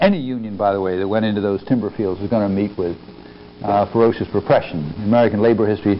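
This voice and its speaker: A man's fairly low voice at a very fast pace, with fairly even intonation and light background noise. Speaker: history professor. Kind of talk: lecture. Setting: stage with audience. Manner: halting. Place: hall. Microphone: lapel.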